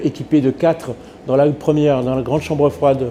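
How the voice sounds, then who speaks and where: A moderate pace with fairly even intonation, set against noticeable background noise. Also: man. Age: 60s. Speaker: butcher and vocational trainer. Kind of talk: interview testimonial. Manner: hesitant, many fillers.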